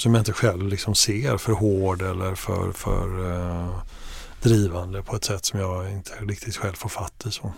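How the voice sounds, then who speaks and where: There is noticeable background noise behind this man. His voice is fairly low, with ordinary pitch variation, at a moderate pace. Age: 50s. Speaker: media executive and family business owner. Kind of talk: interview. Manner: halting.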